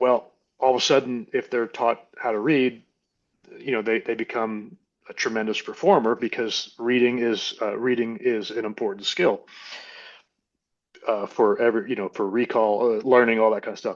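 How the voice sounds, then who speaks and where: With fairly even intonation, a man speaks at a moderate pace. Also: medium pitch for a man. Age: 60s. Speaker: army veteran and businessman. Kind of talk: casual chat. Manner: halting, many fillers and restarts.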